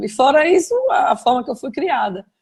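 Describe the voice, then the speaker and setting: A woman's voice comes through somewhat breathy. She keeps a moderate pace. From Brazil, Aracaju (Sergipe). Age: 60s. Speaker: journalist. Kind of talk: interview, personal memories.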